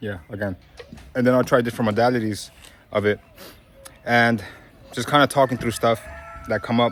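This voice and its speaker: With a New York accent, a man at a medium pitch speaks at a fairly quick pace and fairly even intonation, leaving long, frequent pauses over music in the background. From Brooklyn, New York. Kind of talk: casual talk to camera.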